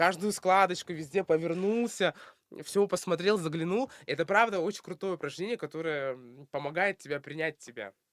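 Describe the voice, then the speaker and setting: Speaking at a moderate pace, a man with a high pitch uses ordinary pitch variation while his loudness swings widely. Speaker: blogger. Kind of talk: casual interview chat. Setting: studio podcast. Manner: many fillers and hesitations.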